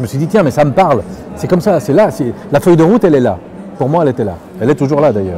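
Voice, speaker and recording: Despite long, frequent pauses, a man rushes at a very fast pace in a fairly high pitch with very wide pitch swings, amid noticeable background noise. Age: 60s. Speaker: farmer. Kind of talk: interview. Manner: hesitant, with many fillers and repetitions.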